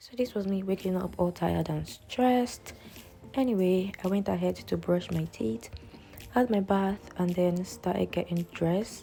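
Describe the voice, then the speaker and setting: Speech with a Nigerian accent, ordinary pitch variation and a moderate pace. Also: woman, medium pitch for a woman. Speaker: nursing student vlogger. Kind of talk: vlog voiceover narration.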